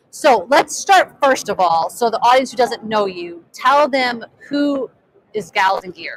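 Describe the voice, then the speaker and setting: A loud woman with a high pitch and an excited tone talks at a fairly slow pace, her pitch swinging very widely. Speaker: live stream host, film director and coach. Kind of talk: live interview at trade show. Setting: trade show floor booth. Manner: loud, excited; trying to speak quietly.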